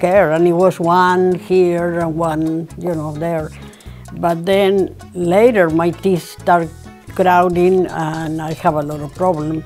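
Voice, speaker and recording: Faint music plays behind a flat, monotone voice moving at a fairly slow pace. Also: woman. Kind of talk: interview answer. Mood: calm, reflective. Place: home room. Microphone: lapel.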